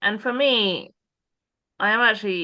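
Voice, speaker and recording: The voice has a bright, sharp tone and an English accent. Its pitch varies in an ordinary way. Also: woman. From England. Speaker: church pioneer. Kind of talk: conversation. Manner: halting.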